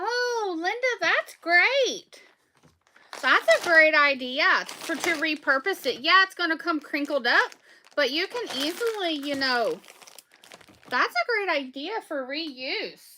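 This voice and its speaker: A woman's raised, projected voice in a strong Southern US accent, extremely high-pitched with lively intonation, at a very slow pace with long, frequent pauses. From Southwest Virginia. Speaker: small business owner selling soaps and candles. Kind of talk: casual livestream chat while packing orders.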